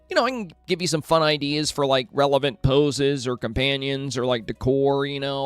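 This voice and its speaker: Over noticeable background noise, a man speaks at a fairly high pitch and a fairly quick pace with fairly even intonation. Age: 30s. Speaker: video game streamer. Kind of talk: live stream chat. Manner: casual, chatty.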